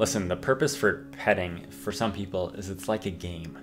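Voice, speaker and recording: Very deep, low male voice at a fairly quick pace, ordinary pitch variation, music playing behind. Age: 20s. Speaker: dating advice host. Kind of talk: casual talk to camera.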